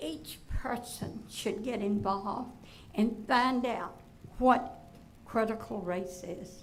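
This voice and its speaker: A woman with a Virginia accent speaks at a very slow pace in a fairly high pitch with ordinary pitch variation. Audible room echo and noticeable background noise are present. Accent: Southern US (Virginia). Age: 80s+. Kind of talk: public comment at a school board meeting. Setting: school board meeting room.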